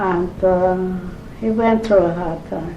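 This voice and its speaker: A woman's fairly low voice at a very slow pace with fairly even intonation, audible room echo and noticeable background noise. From Eastern Europe. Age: 80s+. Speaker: grandmother interviewed about her life. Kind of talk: oral history interview. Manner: halting.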